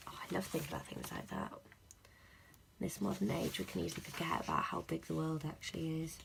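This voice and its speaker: A woman's somewhat breathy voice. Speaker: planner vlogger. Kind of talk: unboxing video, casual talk to camera.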